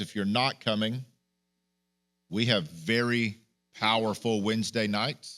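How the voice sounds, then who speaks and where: In a very clean recording with a silent background, a man speaks loudly and fairly slowly at a medium pitch with a bright, sharp tone. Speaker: pastor. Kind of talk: sermon. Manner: animated.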